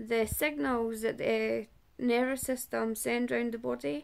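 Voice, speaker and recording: A woman with a Scottish accent speaks very slowly. Her pitch is fairly high, with ordinary variation. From Scotland. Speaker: person living with a chronic illness. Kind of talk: testimony. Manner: halting.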